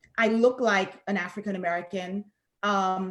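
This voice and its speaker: A woman speaks with a Saint Lucian accent. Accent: Saint Lucian Caribbean. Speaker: professor and researcher. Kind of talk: panel discussion.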